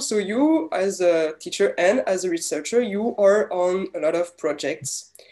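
A woman's dark, mellow tone with very wide pitch swings, a moderate pace and a quiet background. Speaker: interviewer. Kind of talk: interview. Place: home room. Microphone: earbuds.

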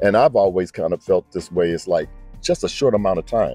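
Over faint background music, a man talks at a fairly quick pace in a dry recording with no echo. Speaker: interviewer or guest. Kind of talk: interviewer, casual talk. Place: waterside. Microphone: handheld.

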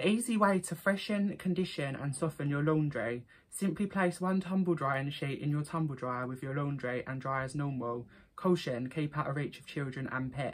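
With an Essex accent, a woman speaks at a moderate pace in a very deep, low pitch, her intonation lively. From Essex, England. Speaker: vlogger. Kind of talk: casual talk to camera. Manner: chatty, upbeat. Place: home room. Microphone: phone near.

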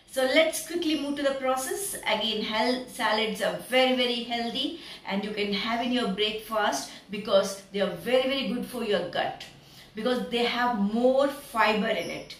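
Over noticeable background noise, a woman with an Indian accent speaks at a moderate pace in a high pitch with ordinary pitch variation. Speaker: cooking video creator. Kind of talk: cooking tutorial. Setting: home kitchen.

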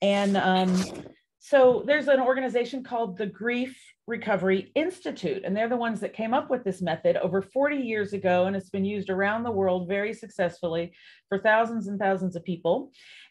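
Fairly quick speech from a woman, somewhat breathy in tone. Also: ordinary pitch variation. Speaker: grief coach. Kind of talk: live online panel discussion. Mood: warm, engaged. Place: home room. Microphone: webcam.

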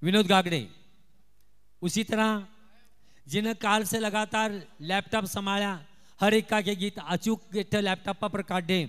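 Against a quiet background, a man with a high pitch talks at a very slow pace, with fairly even intonation and long, frequent pauses. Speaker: stage announcer at felicitation ceremony. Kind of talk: ceremony announcements. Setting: stage with PA system. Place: stage. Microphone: handheld.

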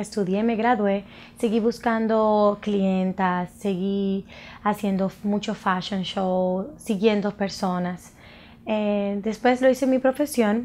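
This woman's voice sits at a medium pitch with fairly even intonation. She speaks at a very slow pace. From Dominican Republic, Santo Domingo; Dominican Republic. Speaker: makeup artist and cosmetics entrepreneur. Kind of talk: personal introduction to camera. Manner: halting, with frequent fillers. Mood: warm, proud. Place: studio.

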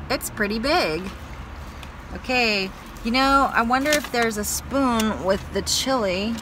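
Noticeable background noise runs behind a woman speaking with ordinary pitch variation. The sound is dry, with no echo. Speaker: vlogger. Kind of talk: casual vlog chat. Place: car. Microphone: phone near.

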